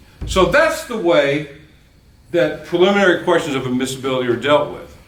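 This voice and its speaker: A man's voice with very wide pitch swings, audible room echo and noticeable background noise. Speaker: law professor. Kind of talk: lecture. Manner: fast.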